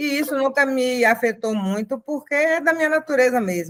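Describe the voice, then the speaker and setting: Here a woman speaks at a high pitch and a moderate pace. Her pitch varies in an ordinary way. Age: 60s. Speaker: activist mother. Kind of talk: personal testimony in panel.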